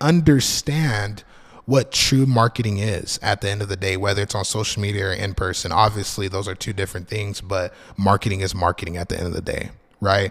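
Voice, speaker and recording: A somewhat breathy voice belongs to this man. He talks fairly quickly. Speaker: marketing consultant podcaster. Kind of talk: solo podcast monologue. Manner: casual, many fillers.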